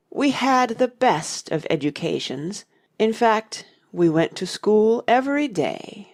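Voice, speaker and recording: A put-on character voice, female-sounding and fairly high-pitched, at a fairly slow pace. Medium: audio drama. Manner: mournful, sighing.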